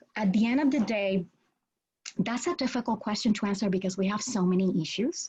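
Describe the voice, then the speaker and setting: A woman speaks with a Spanish accent and ordinary pitch variation. Her voice is somewhat breathy, and the background is quiet. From Puerto Rico. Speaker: law professor. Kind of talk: interview.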